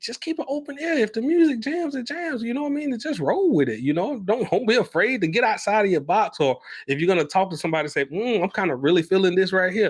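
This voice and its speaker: With a Southern US accent, a man talks very fast in a high pitch, his voice swinging very widely up and down. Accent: Southern US twang. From US South. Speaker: podcast co-host. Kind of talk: casual chat.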